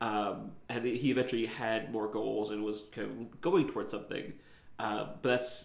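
A man at a medium pitch with vocal fry. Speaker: podcast co-host and player. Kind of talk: casual podcast discussion.

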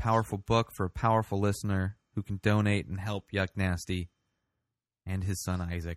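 In a normal speaking voice, a man talks at a moderate pace and fairly low pitch with fairly even intonation, recorded with a dry, close sound with no echo against a quiet background. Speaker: podcast host. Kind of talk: casual chat.

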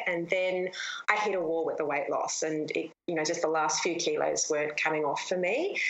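A woman with an Australian accent at a fairly quick pace, amid audible room echo and noticeable background noise. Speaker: fitness coach and online course creator. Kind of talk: interview.

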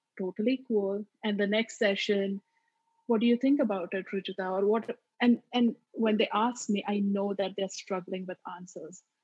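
With an Indian accent, a woman speaks at a moderate pace in a somewhat breathy, medium-pitched voice with fairly even intonation. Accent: Marathi-accented Indian English. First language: Marathi. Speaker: mental health therapist. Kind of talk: interview.

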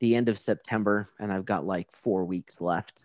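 The sound is dry and close with no echo, carrying a man's fairly low voice with ordinary pitch variation. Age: 40s. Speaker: podcast host. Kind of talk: casual interview chat. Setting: remote interview.

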